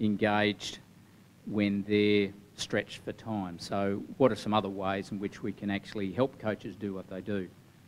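A man's monotone, flat delivery over light background noise. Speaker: athletics coach. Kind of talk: group feedback summary. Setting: meeting room with audience. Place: meeting room. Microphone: handheld.

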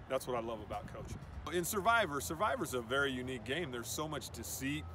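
A man with a medium pitch talks at a very fast pace with lively intonation. The sound is dry with no echo, over light background noise. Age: 50s. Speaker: football coach. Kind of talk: audition video. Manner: animated. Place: open country. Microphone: phone near.

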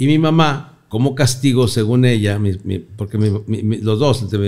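A man speaks in an animated tone with ordinary pitch variation over a quiet background. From northern Mexico, Torreón; northern Mexico. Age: 60s. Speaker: comedian; comedian guest. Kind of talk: casual interview chat. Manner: animated storytelling. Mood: joking, animated storytelling. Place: studio. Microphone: studio mic.

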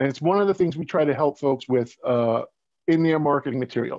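A man with an American accent speaks in an unremarkable speaking voice, fairly high in pitch with ordinary pitch variation. The sound is dry with no echo, over a quiet background. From Long Island, New York; New York. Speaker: marketing and print business owner; guest. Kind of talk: casual promotional interview. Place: home room. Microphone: video call.

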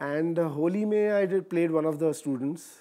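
A man speaks with a high pitch and a dark, mellow tone. There is ordinary pitch variation against a quiet background. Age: 40s. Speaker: actor. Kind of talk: interview. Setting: studio. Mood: relaxed, reminiscing. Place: studio.

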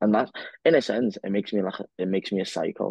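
Against a quiet background, a man talks at a very fast pace, the sound dry with no echo. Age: 20s. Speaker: physiotherapist and podcast co-host. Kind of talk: casual chat. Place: home room. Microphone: earbuds.

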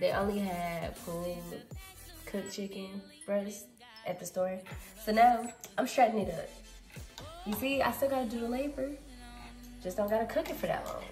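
Clear music sits in the background as a woman talks with ordinary pitch variation and long, frequent pauses. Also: moderate pace. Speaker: home cooking vlogger. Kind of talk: casual vlog chat. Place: kitchen. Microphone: phone near.

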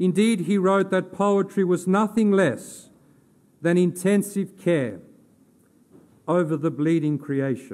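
In an Australian accent, a man speaks at high pitch and a very slow pace, with very even loudness and long, frequent pauses. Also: ordinary pitch variation. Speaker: theology lecturer giving a funeral eulogy. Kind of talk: formal funeral eulogy read from a prepared text in a cathedral. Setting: cathedral funeral service. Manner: solemn, measured and reverent, elevated literary diction; gentle, consoling delivery closing on a prayerful amen. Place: church. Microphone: podium.

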